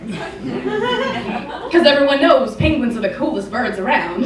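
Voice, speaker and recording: A woman speaks at a fairly slow pace in a high voice with lively intonation, over noticeable background noise. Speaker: spoken word performer. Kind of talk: spoken word poetry performance. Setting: live theatre stage.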